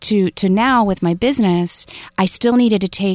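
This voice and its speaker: A woman speaks with an American accent at a moderate pace, with ordinary pitch variation. The sound is dry and close, with no echo. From US South, rural North Florida. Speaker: investment education entrepreneur. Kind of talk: interview.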